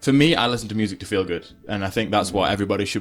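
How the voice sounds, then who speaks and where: A man's fairly low-pitched voice with ordinary pitch variation, music playing in the background. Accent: Potteries. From England, Stoke-on-Trent. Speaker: pop singer-songwriter. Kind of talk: interview.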